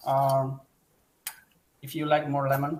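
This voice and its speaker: A man speaks at a moderate pace. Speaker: chef. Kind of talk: cooking demonstration.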